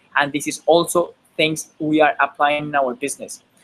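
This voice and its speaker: A Spanish accent at a moderate pace. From Colombia. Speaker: online marketer. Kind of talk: webinar presentation. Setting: live online webinar. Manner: halting, repeats words.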